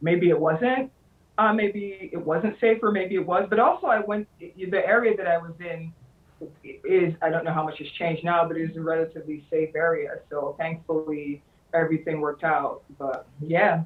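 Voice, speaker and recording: A woman speaks at a fairly low pitch and a moderate pace. Her pitch variation is ordinary. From New York. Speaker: author. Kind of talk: interview.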